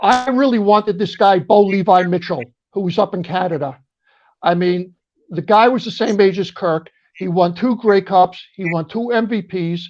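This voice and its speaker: A man with a New York accent talks at a moderate pace. His pitch is high, with ordinary pitch variation. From New York, Brooklyn and Long Island. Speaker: military veteran and football fan guest. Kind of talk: casual chat.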